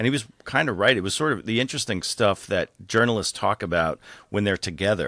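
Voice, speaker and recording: With an American accent, a man talks at a fairly quick pace in a fairly low pitch with ordinary variation and a bright, sharp tone, the sound dry and close with no echo in a very clean recording against a silent background. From New York suburbs, US. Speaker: automotive journalist and media executive. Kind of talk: interview conversation.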